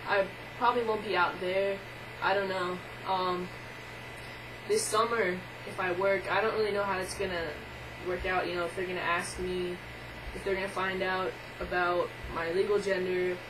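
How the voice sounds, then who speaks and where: A woman's monotone, flat-toned voice with long, frequent pauses, audible room echo and noticeable background noise. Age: 20s. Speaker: video blogger. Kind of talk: casual vlog monologue. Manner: hesitant, many filler words.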